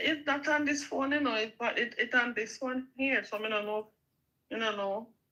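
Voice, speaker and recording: With a strong Jamaican accent, a woman speaks at a moderate pace in a raised, projected, high voice with a bright, sharp tone. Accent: Jamaican, strong patois. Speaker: small YouTuber. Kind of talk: casual chat.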